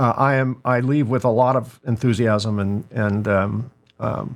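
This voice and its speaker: An unremarkable speaking voice comes through a very clean recording with a silent background. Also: man. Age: 60s. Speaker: podcast host and business owner. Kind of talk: casual interview chat.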